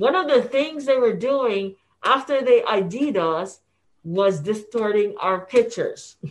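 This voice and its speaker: A woman speaks very slowly, her fairly high voice rising and falling with lively intonation. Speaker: newspaper founder and publisher. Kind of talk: interview. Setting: home office. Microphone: muffled, speaking through a face mask.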